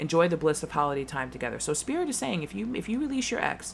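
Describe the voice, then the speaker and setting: With an American accent and a very deep, low pitch, a woman talks at a very fast pace in an animated tone amid noticeable background noise. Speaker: tarot reader. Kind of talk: tarot reading.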